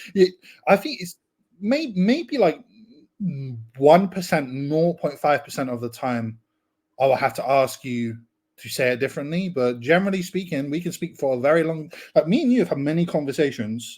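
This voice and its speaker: Speaking with an English accent and lively intonation, a man with fairly high pitch leaves long, frequent pauses in a very clean recording with a silent background. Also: moderate pace. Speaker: podcast guest, online writer. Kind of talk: casual chat. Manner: animated, casual with swearing.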